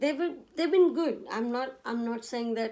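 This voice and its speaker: A woman speaks with a non-native accent in a dark, mellow tone. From India. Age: 40s. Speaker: vlogger. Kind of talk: personal vlog monologue. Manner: halting, self-correcting.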